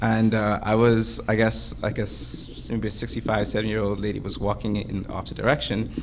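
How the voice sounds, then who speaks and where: A fairly low-pitched man speaks at a moderate pace with ordinary pitch variation, with noticeable background noise and audible room echo. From Bahamas. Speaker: student panelist. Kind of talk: panel discussion. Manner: halting.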